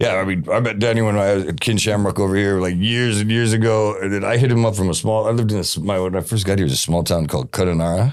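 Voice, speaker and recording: In an American accent, the speaker goes at a very fast pace with hardly any pauses, very even loudness and ordinary pitch variation. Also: man, fairly low pitch for a man. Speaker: podcast host. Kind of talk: casual chat. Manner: halting.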